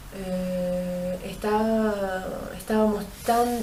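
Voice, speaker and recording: Noticeable background noise and audible room echo accompany a woman. She speaks with fairly even intonation. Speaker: abuse survivor. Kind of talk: testimony. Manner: halting.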